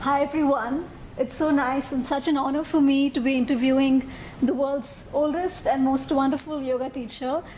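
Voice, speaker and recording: A woman speaks at a moderate pace with a high pitch and flat, monotone intonation. Her loudness stays very even, and background noise is noticeable. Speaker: interviewer. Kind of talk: interview questions.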